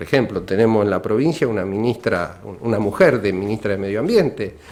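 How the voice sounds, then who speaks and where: An unremarkable speaking voice belongs to this man, pitched fairly low with ordinary pitch variation. He talks at a fairly quick pace. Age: 60s. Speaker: radio guest. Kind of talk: radio interview.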